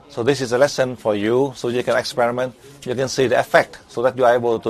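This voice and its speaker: Over noticeable background noise, a man with a Vietnamese accent speaks very fast at a medium pitch, his intonation monotone and flat. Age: 70s. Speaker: spiritual teacher. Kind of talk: lecture. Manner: halting.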